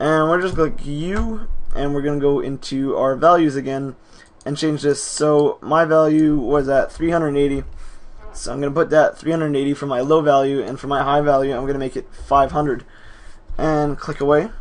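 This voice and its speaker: A man with an unremarkable speaking voice speaks at a moderate pace. His pitch is fairly high and his intonation fairly even. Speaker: video editing tutorial maker. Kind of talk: tutorial. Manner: casual, self-correcting.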